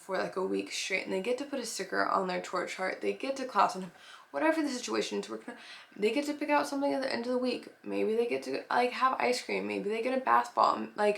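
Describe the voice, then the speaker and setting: Her pitch sits in the medium range, yet this woman's voice makes very wide pitch swings. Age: 20s. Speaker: nanny and preschool teacher. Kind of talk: casual advice talk. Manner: casual, filler-heavy.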